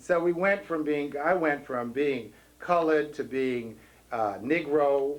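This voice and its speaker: Speaking at a fairly slow pace, a man with an American accent has an ordinary speaking voice, a fairly high pitch and ordinary pitch variation. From New York City. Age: 40s. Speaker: activist and parade grand marshal. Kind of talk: speech at a commemoration event.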